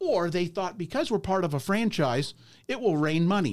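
On a very clean recording with a silent background, a man with a high pitch speaks with lively intonation. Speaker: franchise owner. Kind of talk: casual interview. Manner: hyper, energetic.

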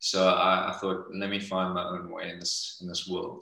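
Speaking at a moderate pace, a man has a fairly low pitch. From South Africa. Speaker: actor. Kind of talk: casual interview chat. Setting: video call.

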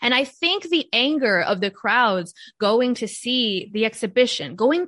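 A woman's bright, sharp tone over a quiet background. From United States, Cuban-American family. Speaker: writer, artist and podcaster. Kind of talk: casual interview conversation. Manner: animated, emphatic.

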